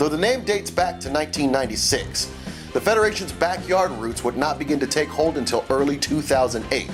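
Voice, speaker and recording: Over music in the background, a man with a fairly high voice speaks at a fairly quick pace with very wide pitch swings. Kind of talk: promotional video narration.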